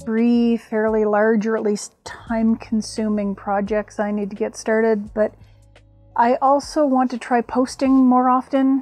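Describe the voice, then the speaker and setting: A woman's voice with ordinary pitch variation, a dry sound with no echo, and faint music in the background. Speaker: crafting vlogger. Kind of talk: casual vlog chat. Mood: humorous, self-deprecating. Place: home room.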